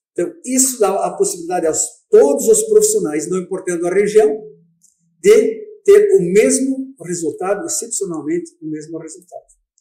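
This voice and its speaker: Loudness swings widely while the speech holds a moderate pace. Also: man. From southern Brazil. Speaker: dental scientist. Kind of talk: radio interview. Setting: radio studio.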